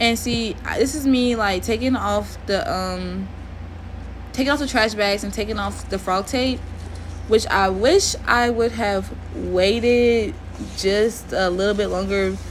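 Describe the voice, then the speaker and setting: Room echo is audible as a woman talks. She speaks fairly slowly in an American accent. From Oklahoma, Tulsa. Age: 20s. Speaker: DIY video creator. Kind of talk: voiceover tutorial. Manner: casual, hesitant with fillers.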